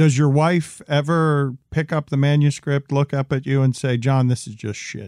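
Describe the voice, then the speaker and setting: Recorded very clean with a silent background and a dry, close sound with no echo, a man with a fairly high pitch uses an ordinary speaking voice at a moderate pace with fairly even intonation. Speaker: interviewer. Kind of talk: interview.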